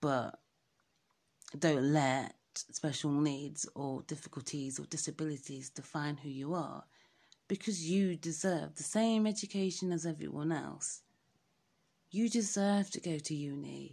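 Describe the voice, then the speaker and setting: In a very clean recording with a silent background, a woman speaks fairly slowly with a very deep, low pitch, a dark, mellow tone and ordinary pitch variation. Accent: English. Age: 30s. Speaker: podcaster. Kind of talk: casual monologue.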